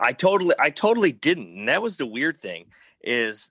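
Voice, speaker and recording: A man speaks with a bright, sharp tone. The sound is dry and close with no echo, and the background is quiet. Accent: American. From US Midwest, northwest Indiana near Chicago. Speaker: moped club president. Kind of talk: casual chat.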